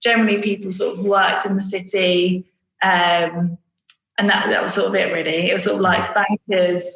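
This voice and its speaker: A woman's medium-pitched, monotone, flat voice at a very even loudness. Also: moderate pace. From Essex, England (Brentwood). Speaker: advertising creative director. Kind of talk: podcast interview. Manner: casual, many fillers.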